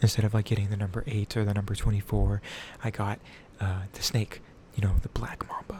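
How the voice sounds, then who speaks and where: Soft-spoken, a man talks at a fairly low pitch with vocal fry. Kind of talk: ASMR tattoo showcase, casual talk to camera. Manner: soft-spoken, quiet.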